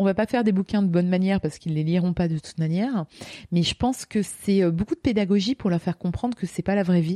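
A woman's dark, mellow voice at medium pitch, with ordinary pitch variation and a dry, close sound with no echo. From France, Lorraine. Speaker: teacher and speaker. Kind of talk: interview. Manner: hesitant, many fillers.

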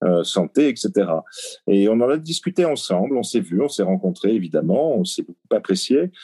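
Dry and close with no echo, a man's dark, mellow, medium-pitched voice makes very wide pitch swings at a moderate pace. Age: 60s. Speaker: novelist and press attaché. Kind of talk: interview. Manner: halting.

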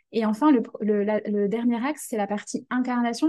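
A woman's dark, mellow, somewhat breathy voice, fairly high in pitch, at a moderate pace with fairly even intonation. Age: 20s. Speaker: career change coach. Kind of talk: interview conversation.

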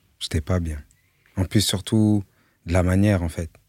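A man speaks at a very deep, low pitch with flat, monotone intonation, somewhat breathy and fairly slow. The sound is dry and close with no echo, on a very clean recording with a silent background. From France, Melun. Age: 30s. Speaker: music producer. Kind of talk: casual chat.

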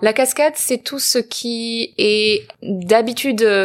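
On a very clean recording with a silent background, a woman talks very slowly at a fairly high pitch with ordinary pitch variation. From southern France, near Marseille. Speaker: actress and filmmaker. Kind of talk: personal testimony interview. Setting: living room in Los Angeles.

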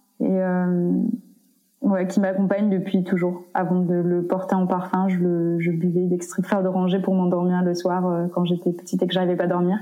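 A woman speaks at medium pitch and a moderate pace in a flat monotone. Her loudness stays very even. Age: 20s. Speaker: activist and PhD student. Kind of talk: interview. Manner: hesitant, many fillers.

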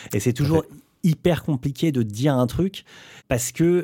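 A fairly high-pitched man with a dark, mellow, somewhat breathy tone, ordinary pitch variation and a moderate pace, on a very clean recording with a silent background. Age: 40s. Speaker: bassist. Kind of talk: casual chat.

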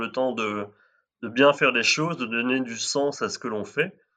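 A man's bright, sharp tone at a moderate pace. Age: 30s. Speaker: marketing manager, listener guest. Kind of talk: casual chat.

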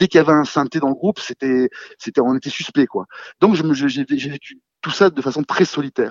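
A man's fairly quick delivery carries ordinary pitch variation. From southern France (Cannes). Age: 40s. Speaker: film director and fan. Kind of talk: casual chat. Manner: halting, repeats words.

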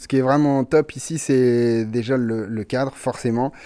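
This man has a dark, mellow tone at medium pitch, and his intonation stays fairly even. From Brittany, Ille-et-Vilaine. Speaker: chef. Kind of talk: casual interview.

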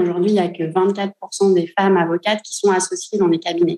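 A woman's voice has a dark, mellow tone. Her intonation stays monotone and flat. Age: 30s. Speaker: lawyer. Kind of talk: interview. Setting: in an office. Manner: hesitant, many fillers.

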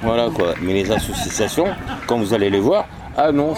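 A man speaks over noticeable background noise. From southern France. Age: 50s. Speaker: homeless man. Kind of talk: testimony.

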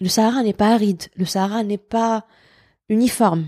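Recorded dry and close with no echo, a woman with a dark, mellow tone and a fairly high pitch speaks at a fairly slow pace in a monotone, flat intonation. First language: Algerian Arabic (Darja) (speaking French). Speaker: teacher and cultural writer. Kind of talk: interview conversation.

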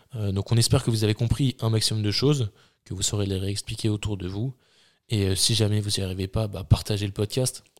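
Here is a man with an ordinary speaking voice, fairly low in pitch, moving at a fairly quick pace. His intonation stays fairly even, and the sound is dry and close with no echo. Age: 20s. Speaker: sports podcast host, student coach. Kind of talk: casual chat.

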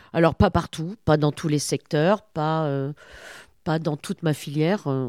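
A woman with a very deep, low pitch and ordinary pitch variation is heard on a very clean recording with a silent background and a dry, close sound with no echo. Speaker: company director. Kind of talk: interview conversation.

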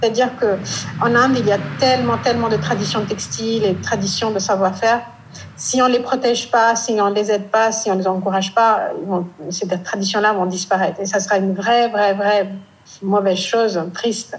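In an Indian accent, a woman of medium pitch speaks at a moderate pace with fairly even intonation, amid audible room echo and noticeable background noise. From northeast India. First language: Indian language (speaking French). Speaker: fashion and textile brand founder. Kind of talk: interview.

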